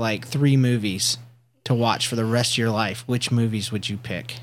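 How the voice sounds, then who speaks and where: A man speaks at a medium pitch. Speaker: podcast host and father. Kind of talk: casual chat with his child. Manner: animated.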